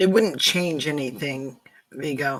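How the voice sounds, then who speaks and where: This is a put-on character voice with a raspy sound. Its pitch sits low-to-middle. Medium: actual play.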